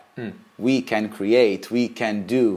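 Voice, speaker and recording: A man with an Israeli accent speaks at a very slow pace and a medium pitch. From Israel, Sea of Galilee. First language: Hebrew. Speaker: drag performer. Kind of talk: interview. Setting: home.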